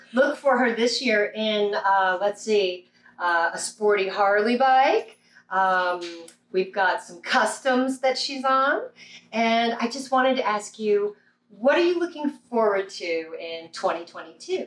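The speech moves at a fairly slow pace with lively intonation. Audible room echo surrounds it. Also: woman, fairly high pitch for a woman. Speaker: lawyer, calendar host. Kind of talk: casual talk to camera. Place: home room. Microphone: camera far.

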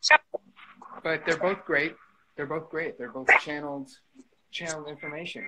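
Noticeable background noise runs beneath this man's speech. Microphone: video call.

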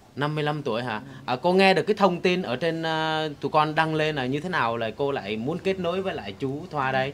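Over light background noise, a man talks at a moderate pace with ordinary pitch variation and hardly any pauses. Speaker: matchmaking show host. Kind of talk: casual interview. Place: home room. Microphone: lapel.

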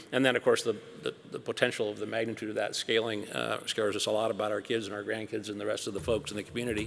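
A man with an American accent, fairly low-pitched, very fast with hardly any pauses, monotone and flat, with vocal fry over light background noise. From US Pacific Northwest (Seattle). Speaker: company CEO; panelist. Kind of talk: onstage interview. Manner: hesitant with fillers. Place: hall. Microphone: podium.

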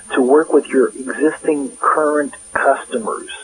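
Noticeable background noise behind a man at a moderate pace. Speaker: industry consultant. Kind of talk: advice interview.

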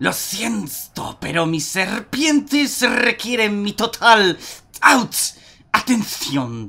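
An affected character voice is put on here. The words come out very slowly. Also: man, high pitch for a man. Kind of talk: reading game dialogue aloud.

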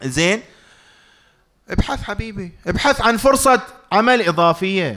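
A man speaks very slowly in a raised, projected voice, high-pitched with a bright, sharp tone and lively intonation. Long, frequent pauses break his speech against a quiet background. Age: middle-aged. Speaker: financial lecturer. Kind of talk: public lecture. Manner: loud; interactive, conversational. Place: hall. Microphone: studio mic.

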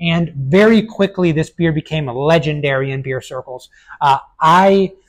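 A man's pitch moves up and down by a normal amount as he talks. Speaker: beer reviewer. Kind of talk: casual review commentary. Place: shop. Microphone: lapel.

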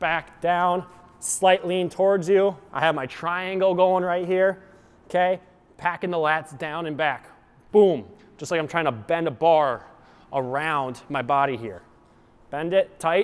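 This man speaks at a fairly slow pace in a high pitch, with ordinary pitch variation and long, frequent pauses. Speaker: fitness coach. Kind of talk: tutorial. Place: gym.

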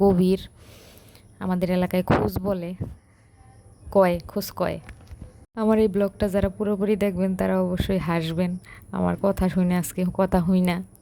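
Monotone, flat intonation in a dark, mellow tone with a central Bangladeshi accent. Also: woman. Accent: Narayanganj regional Bengali dialect. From Bangladesh, Narayanganj. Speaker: village vlogger. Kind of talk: vlog voiceover narration. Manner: casual, unscripted.

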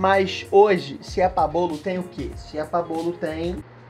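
A man speaks at a high pitch while faint music plays in the background. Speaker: youtuber. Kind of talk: casual vlog chat. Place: home room. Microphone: headset.

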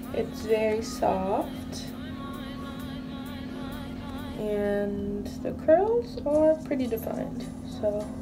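Clear music plays in the background. A woman speaks very slowly with ordinary pitch variation. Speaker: hair care vlogger. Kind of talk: tutorial. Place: bathroom. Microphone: phone near.

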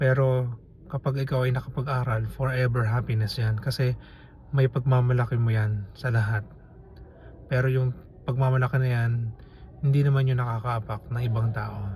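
A man's unremarkable speaking voice, medium in pitch, with fairly even intonation at a moderate pace. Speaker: vlogger. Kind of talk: casual commentary monologue.

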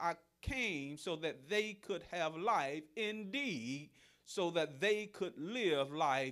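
A very slow delivery over a quiet background. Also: man. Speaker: pastor. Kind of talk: sermon. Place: church.

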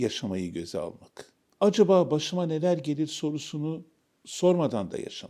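Dark, mellow tones from a man speaking fairly slowly, with ordinary pitch variation. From Istanbul, Turkey. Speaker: novelist and academic. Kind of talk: interview.

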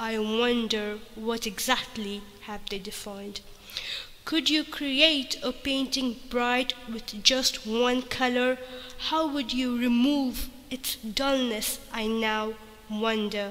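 Speaking at a very slow pace, a woman keeps a high pitch and fairly even intonation over noticeable background noise. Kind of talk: spoken word poetry.

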